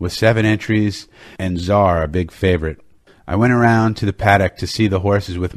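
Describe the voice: What's heard here is plain reading aloud.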